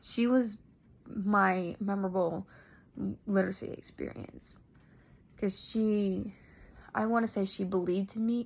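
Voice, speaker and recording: This woman has an American accent and a medium pitch. Her voice is somewhat breathy, with fairly even intonation and a fairly slow pace. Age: 20s. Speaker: graduate student. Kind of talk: personal narrative for a class assignment. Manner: halting, many fillers.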